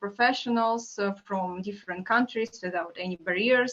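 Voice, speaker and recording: The woman's intonation stays fairly even throughout. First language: not English. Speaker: marketing manager.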